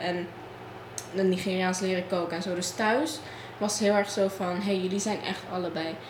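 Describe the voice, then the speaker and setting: A woman's medium-pitched voice comes with audible room echo over noticeable background noise. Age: young (19). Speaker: student guest. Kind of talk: casual discussion.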